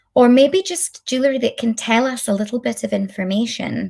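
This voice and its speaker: A woman with a Scottish accent sounds somewhat breathy, her pitch varying in an ordinary way on a very clean recording with a silent background. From Scotland. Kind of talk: lecture. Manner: deliberately slow.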